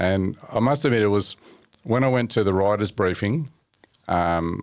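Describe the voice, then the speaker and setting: In an Australian accent, a man speaks at a fairly low pitch with ordinary pitch variation and an animated tone. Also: moderate pace, very even loudness. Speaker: mechanic and motorsport journalist. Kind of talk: casual chat. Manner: animated storytelling.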